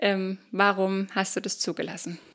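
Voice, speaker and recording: A woman speaks at a medium pitch with vocal fry. The recording is very clean, with a silent background. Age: 20s. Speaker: social worker, mother. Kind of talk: interview, personal testimony.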